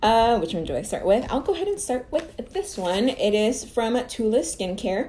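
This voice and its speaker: A woman's dark, mellow voice at a moderate pace, with very wide pitch swings. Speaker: beauty YouTuber. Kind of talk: unboxing review. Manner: casual, chatty.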